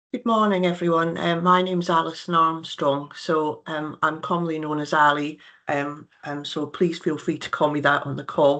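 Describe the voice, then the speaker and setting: A woman with a slight Scottish accent speaks at a very deep, low pitch in a bright, sharp tone. Her pace is moderate, her intonation fairly even, with hardly any pauses and a quiet background. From Scotland. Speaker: nurse and health care director. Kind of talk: presentation. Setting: video call. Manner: hesitant, many fillers.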